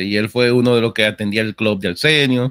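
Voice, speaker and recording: Medium pitch and fairly even intonation in a man's unremarkable speaking voice. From outside Dominican Republic. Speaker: gaming content creator. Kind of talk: casual chat.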